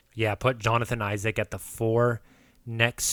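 Speaking in an American accent, a man talks at a very slow pace with a medium pitch and monotone, flat intonation. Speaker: podcast host. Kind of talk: casual sports chat.

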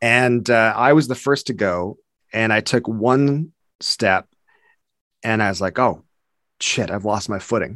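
With a Canadian accent, a man at a medium pitch talks at a fairly slow pace with ordinary pitch variation and long, frequent pauses, in a dry, close sound with no echo and a quiet background. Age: 50s. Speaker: comedy video creator. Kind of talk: casual chat.

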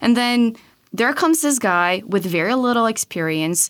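A woman speaks with a Portuguese accent. Her intonation is lively. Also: very clean recording, silent background. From Brazil. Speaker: political reform researcher. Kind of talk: interview.

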